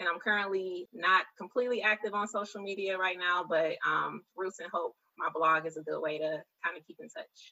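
A woman with an American accent and a plain, everyday voice, medium in pitch, with ordinary pitch variation, big swings in loudness and a moderate pace. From Detroit, Michigan, US. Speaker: youth mentor. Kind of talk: interview.

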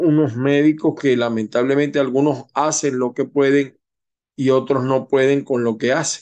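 With a quiet background, a man talks at a fairly high pitch in a monotone, flat intonation and very even loudness. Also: fairly slow pace. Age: 50s. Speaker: political commentator, show host. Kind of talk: editorial news commentary.

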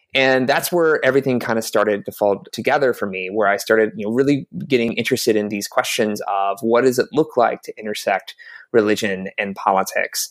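An unremarkable speaking voice from a man, medium pitch, fairly quick pace. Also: ordinary pitch variation, very clean recording, silent background. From US South, South Carolina. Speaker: religion reporter. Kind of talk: interview.

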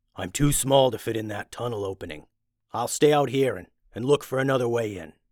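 A man puts on a character voice at a medium pitch. He talks at a fairly quick pace. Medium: read story.

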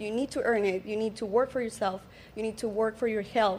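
A woman speaks at a fairly high pitch with a Colombian accent. Her intonation stays fairly even. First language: Spanish. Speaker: social media coach. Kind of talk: casual panel chat.

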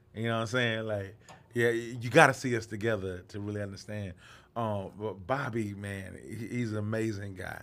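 A man at a moderate pace and fairly low pitch, with fairly even intonation and audible room echo. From US South, Atlanta, Georgia. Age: 30s. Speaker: comedian. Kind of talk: casual chat. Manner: halting.

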